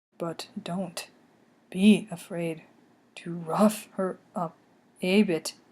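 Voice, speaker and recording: A woman at a medium pitch uses a put-on character voice, speaking at a very slow pace with long, frequent pauses. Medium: read story. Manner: odd misplaced emphasis.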